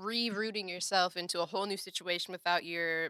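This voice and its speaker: In a Chicago accent, a woman speaks with a fairly low pitch and a bright, sharp tone on a very clean recording with a silent background. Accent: Chicago-area American. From Evanston, Illinois, north of Chicago. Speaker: singer and actress. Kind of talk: casual interview chat.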